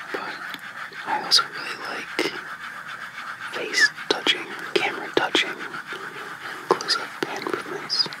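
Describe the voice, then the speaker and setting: A whisper at a fairly slow pace, with long, frequent pauses and noticeable background noise. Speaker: ASMR creator. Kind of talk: whispered ASMR Q&A. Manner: whispered.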